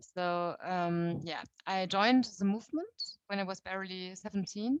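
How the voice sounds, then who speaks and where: In a quiet background with a dry, close sound and no echo, a woman speaks at a medium pitch with ordinary pitch variation in a German accent. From Germany. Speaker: youth movement leader. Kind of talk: talk to a meeting. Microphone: too quiet at first.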